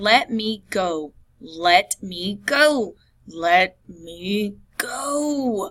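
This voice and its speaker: Hissing, a woman puts on a character voice at a medium pitch, with very wide pitch swings and a very slow pace. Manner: hissed through gritted teeth.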